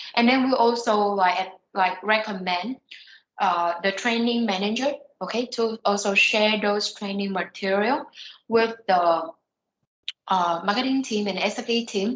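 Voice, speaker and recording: A woman's normal speaking voice, medium in pitch with ordinary pitch variation, at a fairly slow pace. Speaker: software trainer. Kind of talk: online training session.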